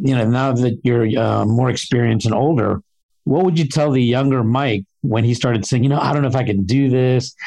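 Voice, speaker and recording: Speaking at a medium pitch with ordinary pitch variation, a man has a plain, everyday voice. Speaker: podcast host. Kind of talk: interview, conversational.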